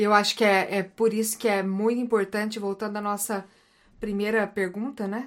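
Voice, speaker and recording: The speech comes at a moderate pace in a monotone, flat intonation on a very clean recording with a silent background. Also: woman, medium pitch for a woman. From Brazil, Paraná. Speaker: psychologist and missionary. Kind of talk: casual chat.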